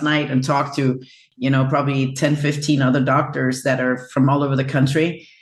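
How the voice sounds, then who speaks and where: With music playing behind her, a woman speaks in a very deep, low voice with a Danish accent. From Denmark. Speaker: chiropractor. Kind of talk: interview.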